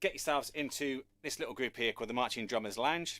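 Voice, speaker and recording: Talking at a very fast pace, a man with a British accent uses a fairly high pitch and ordinary pitch variation. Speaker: drum teacher. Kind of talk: online live lesson. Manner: casual, conversational.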